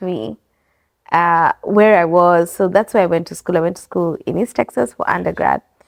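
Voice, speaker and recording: A woman with an American accent speaks at a moderate pace against a quiet background. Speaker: business owner. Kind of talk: interview. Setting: bookstore and coffee bar.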